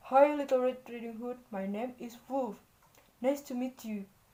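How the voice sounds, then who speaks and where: The voice belongs to a woman doing a put-on character voice. It sits high in pitch. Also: moderate pace. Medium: read story. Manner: sly.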